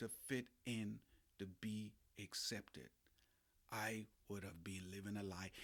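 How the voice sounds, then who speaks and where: The man speaks at a very slow pace in a bright, sharp tone. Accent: Bahamian. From Bahamas. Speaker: life coach and podcast host. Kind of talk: motivational podcast monologue. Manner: animated.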